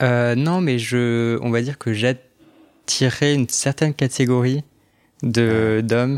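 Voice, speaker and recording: A man at medium pitch speaks at a very slow pace with fairly even intonation. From France, Alsace (Strasbourg). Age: 20s. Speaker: podcast guest sharing his experience. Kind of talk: personal testimony interview. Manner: halting, many fillers.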